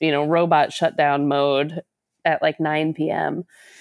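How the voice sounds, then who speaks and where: Recorded dry and close with no echo, a woman with an unremarkable speaking voice talks at a fairly slow pace and a fairly low pitch. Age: 40s. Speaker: novelist. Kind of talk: interview.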